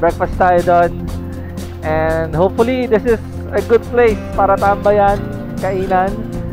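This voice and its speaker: The sound is dry with no echo. A man speaks while clear music plays in the background. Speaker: motovlogger. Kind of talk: casual vlog chat. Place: motorbike. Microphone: helmet.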